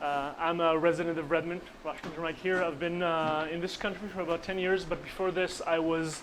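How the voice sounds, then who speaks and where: A man with an Israeli accent speaks at a high pitch in a monotone, flat intonation, at a fairly quick pace with hardly any pauses. Noticeable background noise and audible room echo fill the recording. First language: Hebrew. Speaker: conference speaker, computer engineer. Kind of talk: conference presentation. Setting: conference room with audience. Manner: halting, many fillers.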